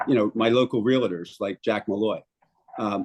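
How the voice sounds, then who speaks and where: A man with a Philadelphia accent, in a dry, close sound with no echo. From Philadelphia, Port Richmond. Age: 70s. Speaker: city councilmember. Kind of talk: interview. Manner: halting, many fillers.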